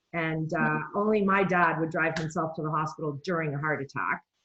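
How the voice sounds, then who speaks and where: At a moderate pace, a woman talks in a plain, everyday voice, her intonation fairly even. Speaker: nutrition coach. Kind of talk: casual talk to camera.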